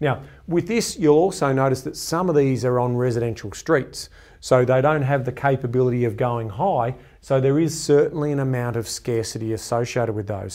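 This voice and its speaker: The delivery is fairly quick with ordinary pitch variation. Behind it, the background is quiet. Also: man. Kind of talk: educational explainer to camera. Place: studio. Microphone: lapel.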